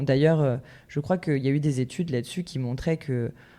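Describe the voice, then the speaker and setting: A woman's very deep, low voice has a dark, mellow tone and fairly even intonation, captured on a very clean recording with a silent background. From Brittany, France (Lorient). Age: 30s. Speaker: nightclub owner and entrepreneur. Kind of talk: podcast interview.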